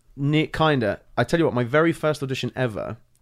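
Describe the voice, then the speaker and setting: In a London accent, a man talks at a very fast pace. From England (London), born in Ireland. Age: 30s. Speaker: stage and TV actor. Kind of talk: casual chat. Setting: in-person studio.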